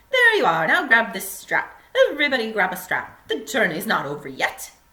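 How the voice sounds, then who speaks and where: A cheerful, put-on character voice moves at a moderate pace through very wide pitch swings. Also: woman, fairly high pitch for a woman. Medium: read story. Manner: brisk, cheerful.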